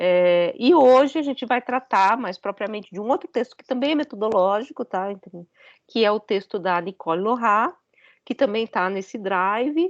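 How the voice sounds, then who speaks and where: Her voice fairly high in pitch, a woman speaks at a moderate pace with lively intonation and big swings in loudness, in a dry, close sound with no echo. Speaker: philosophy professor. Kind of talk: lecture.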